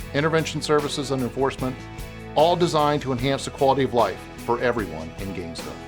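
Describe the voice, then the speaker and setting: Over music in the background, a man at medium pitch talks very fast with very wide pitch swings. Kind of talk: corporate narration.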